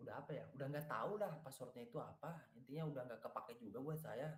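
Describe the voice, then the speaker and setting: The voice is somewhat breathy, with audible room echo. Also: man. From West Sumatra, Bukittinggi (Batak family). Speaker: student mentor teaching web development. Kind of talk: casual workshop chat with students. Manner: casual, joking.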